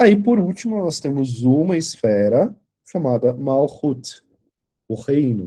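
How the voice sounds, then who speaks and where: A man's dark, mellow voice at a very slow pace, with very wide pitch swings. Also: fairly high pitch for a man. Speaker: tarot teacher. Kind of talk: lecture. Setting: online class video call.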